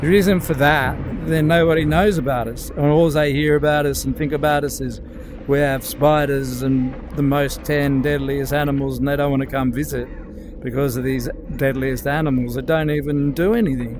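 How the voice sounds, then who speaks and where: A man with an Australian accent at a fairly high pitch, moderate pace, audible room echo and music in the background. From Australia, remote area. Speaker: gaming streamer. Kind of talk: casual live-stream chat while gaming. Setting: playing in VR while streaming. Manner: animated.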